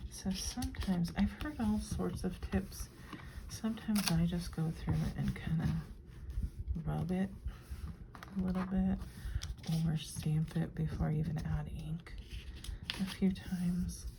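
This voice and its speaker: The speaker is soft-spoken, going at a fairly slow pace with long, frequent pauses. Noticeable background noise sits behind the voice. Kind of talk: crafting tutorial talk to camera.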